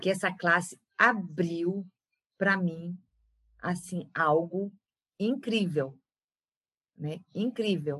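A woman with a bright, sharp tone and ordinary pitch variation talks at a very slow pace with long, frequent pauses. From Belém do Pará, northern Brazil. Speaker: facilitator, former psychologist. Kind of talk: interview.

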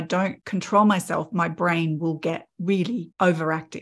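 Over a silent background in a very clean recording, a woman with an Australian accent talks at a fairly slow pace in a fairly low pitch, her intonation fairly even. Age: 50s. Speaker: podcast host, artist. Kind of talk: casual chat.

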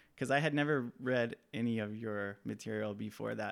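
The very clean recording, with a silent background, captures a man with an American accent at a medium pitch and ordinary pitch variation. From Southern California, Mojave Desert. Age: 30s. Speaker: filmmaker. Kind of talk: casual chat. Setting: at his childhood home.

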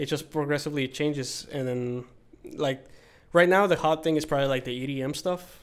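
With a plain, everyday voice, a man speaks at a fairly high pitch. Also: fairly even intonation, moderate pace. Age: 20s. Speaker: band guitarist. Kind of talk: casual chat.

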